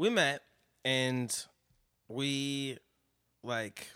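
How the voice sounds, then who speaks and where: Here a man speaks with an American accent at a medium pitch. His tone is bright and sharp. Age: 30s. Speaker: musician. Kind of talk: casual chat. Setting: studio.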